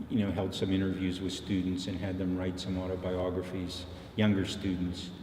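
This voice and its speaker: Somewhat breathy and very deep in pitch, a man talks at a moderate pace in a monotone, flat delivery, with audible room echo around him. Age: 70s. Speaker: professor. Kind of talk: interview. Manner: halting.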